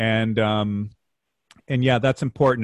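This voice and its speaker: A man speaks with an ordinary speaking voice at a medium pitch. His pace is moderate. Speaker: podcast host. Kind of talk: interview.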